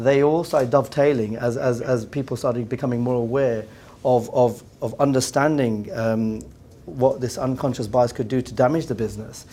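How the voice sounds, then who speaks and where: A man speaks in an English accent at a medium pitch. His pace is moderate and his intonation fairly even. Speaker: business executive. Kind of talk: round table discussion. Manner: halting, many repeated words.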